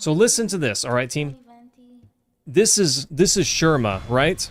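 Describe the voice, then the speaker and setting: With a slight Texas accent, a man at a fairly high pitch sends his voice through very wide pitch swings. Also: fairly slow pace. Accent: slight Texas twang. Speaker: gaming streamer. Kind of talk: live gameplay commentary. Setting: home, wife in other room. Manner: casual, chatty.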